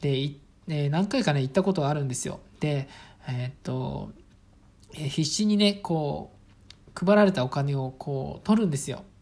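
A woman with a relaxed tone speaks in a very deep, low voice with lively intonation. Her pace is moderate, broken by long, frequent pauses. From Saitama, Japan (rural town). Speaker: podcaster, office worker and father. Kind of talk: casual solo talk. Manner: relaxed, many fillers.

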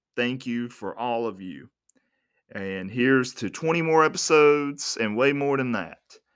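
Using an ordinary speaking voice, a man with an American accent talks at a medium pitch and a moderate pace with lively intonation and big swings in loudness. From United States. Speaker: podcast host. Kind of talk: solo podcast monologue.

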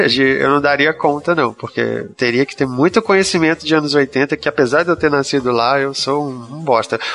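A man with a normal speaking voice talks at a moderate pace with hardly any pauses, his pitch fairly high. His pitch variation is ordinary, and the background is quiet. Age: 30s. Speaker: book podcast panelist. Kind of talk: casual chat.

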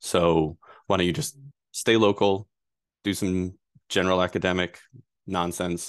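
Over a quiet background, a man with an American accent speaks in a very deep, low pitch at a fairly slow pace. He leaves long, frequent pauses. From Rhode Island, US. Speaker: data privacy attorney. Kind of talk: interview.

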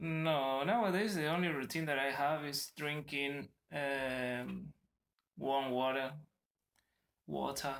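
A man with a Spanish accent and fairly high pitch, at a very slow pace with long, frequent pauses and ordinary pitch variation. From Argentina. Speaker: traveller, yoga teacher trainee. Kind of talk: casual interview. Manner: halting.

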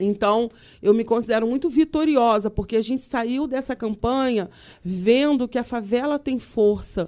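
On a very clean recording with a silent background, a woman speaks at a moderate pace in a fairly high, dark, mellow voice with ordinary pitch variation. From Rio de Janeiro, Brazil. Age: 50s. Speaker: community leader and former councilwoman. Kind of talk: casual chat.

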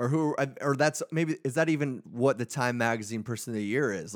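A man with a normal speaking voice talks at a medium pitch and a fairly quick pace with ordinary pitch variation on a very clean recording with a silent background. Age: 30s. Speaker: podcast co-host. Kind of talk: casual chat.

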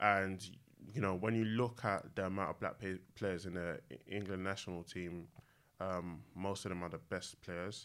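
In a London accent, a man speaks at a moderate pace with a very deep, low pitch and fairly even intonation on a very clean recording with a silent background. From East London, Newham. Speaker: drinks brand co-founder. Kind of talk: casual chat. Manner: halting, many fillers.

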